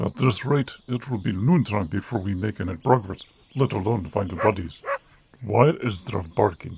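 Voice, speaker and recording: Moderate pace and fairly low pitch in a put-on character voice from a man. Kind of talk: read story. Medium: read story. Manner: soft-spoken.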